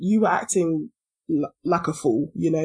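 Somewhat breathy woman's voice, fairly low in pitch, with a London accent, at a moderate pace over a quiet background. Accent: British, London. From London, England. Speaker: podcast co-host. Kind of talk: casual chat.

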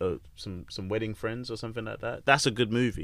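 This man's voice has a medium pitch, fairly even intonation and a bright, sharp tone. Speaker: podcast host. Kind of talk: casual chat. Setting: studio. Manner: laid-back, swears casually.

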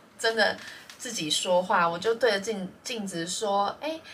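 A woman's plain, everyday voice, medium in pitch, at a fairly slow pace. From Taiwan. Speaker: podcast co-host. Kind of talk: casual chat.

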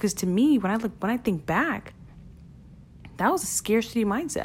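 Somewhat breathy and animated in tone, a woman with a Brooklyn accent speaks at a medium pitch. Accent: New York (Brooklyn). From Brooklyn, New York (Flatbush). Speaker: podcast host, e-commerce entrepreneur. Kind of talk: solo podcast monologue.

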